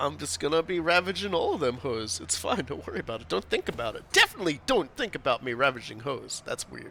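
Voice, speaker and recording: Amid noticeable background noise, a man races along at a very fast pace with hardly any pauses and big swings in loudness. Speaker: gaming streamer. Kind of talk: casual gameplay chat.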